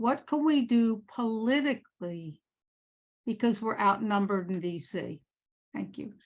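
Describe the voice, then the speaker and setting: Somewhat breathy speech moves at a fairly slow pace, its intonation lively and its pauses long and frequent. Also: woman, fairly high pitch for a woman. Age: 80s+. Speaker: audience member, parent. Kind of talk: audience question. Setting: conference meeting with audience.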